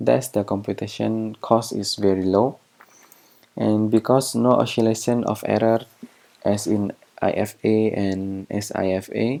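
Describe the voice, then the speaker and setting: A man with an Indonesian accent talks at a fairly slow pace, using a fairly low pitch and fairly even intonation. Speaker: researcher. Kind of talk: lecture. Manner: halting.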